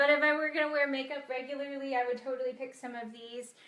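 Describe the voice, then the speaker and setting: A woman talks at a fairly quick pace. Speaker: chiropractor-style health doctor hosting a live video. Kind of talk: casual live-stream talk. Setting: live video stream.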